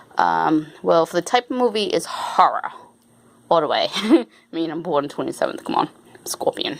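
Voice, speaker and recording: At a moderate pace, a woman talks with an American accent. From Rhode Island, US. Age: 40s. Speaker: YouTuber. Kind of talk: casual Q&A chat to camera. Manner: hesitant, many fillers; walking around while talking.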